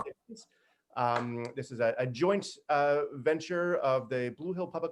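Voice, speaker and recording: A man's ordinary speaking voice, fairly high in pitch, with ordinary pitch variation and a moderate pace. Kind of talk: casual welcome to an online group reading.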